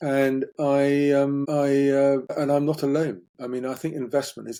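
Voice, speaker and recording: A man's voice carries a dark, mellow tone at a medium pitch. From England, Somerset. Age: 60s. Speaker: farmer. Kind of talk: podcast interview.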